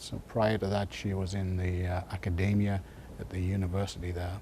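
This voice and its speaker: Here a man speaks with an English accent at a fairly low pitch. His pace is moderate. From northeast England, Sunderland. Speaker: retired glass industry engineer. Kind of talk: oral history interview. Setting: museum library. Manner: hesitant, many fillers.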